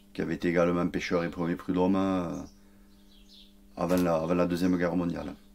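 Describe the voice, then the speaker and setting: Very deep and low in pitch, a man speaks at a fairly quick pace in a monotone, flat intonation, broken by long, frequent pauses. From southern France (Gruissan, Aude). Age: 40s. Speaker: fisherman, fishermen's representative. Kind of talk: interview. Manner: halting, hesitant.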